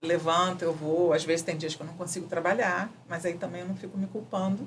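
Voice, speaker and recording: A woman's fairly low-pitched voice, monotone and flat in intonation, at a moderate pace. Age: 60s. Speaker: architect working in neuroarchitecture. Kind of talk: interview answer. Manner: casual, conversational.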